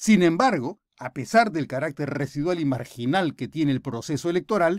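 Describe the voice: A man speaks at a fairly high pitch with big pitch swings. The recording is very clean, with a silent background and a dry, close sound with no echo.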